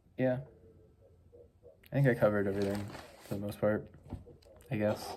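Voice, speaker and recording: Soft-spoken and mumbling, a man talks at a fairly quick pace with a dark, mellow tone. His pitch sits fairly low, and his intonation stays fairly even. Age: 20s. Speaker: vlogger. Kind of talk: casual monologue. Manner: mumbling, soft-spoken.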